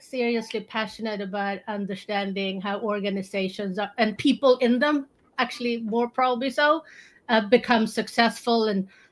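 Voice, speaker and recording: In a Swedish accent, a woman speaks at a moderate pace. Her high-pitched voice shows ordinary pitch variation. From Sweden. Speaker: strategy consultant. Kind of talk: casual panel discussion.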